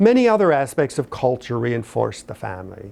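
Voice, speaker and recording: Against a quiet background, a man with an American accent talks in a normal speaking voice at a medium pitch. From north central Pennsylvania. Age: 60s. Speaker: history professor. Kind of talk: lecture.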